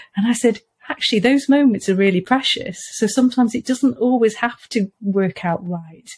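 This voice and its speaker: With a Welsh accent, a woman speaks at a moderate pace in a fairly high pitch with ordinary pitch variation. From Wales. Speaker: parent of eating disorder patient, author. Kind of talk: casual interview chat.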